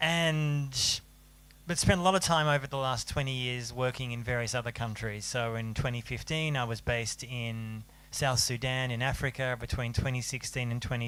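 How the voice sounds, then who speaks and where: A man with an Australian accent speaks at a moderate pace, his medium-pitched voice carrying fairly even intonation. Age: 40s. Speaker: journalist and author. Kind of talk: panel talk.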